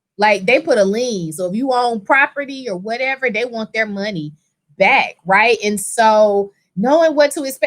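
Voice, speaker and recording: A loud, animated woman's voice at high pitch, with very wide pitch swings and a moderate pace. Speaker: personal injury attorney. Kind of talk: casual chat.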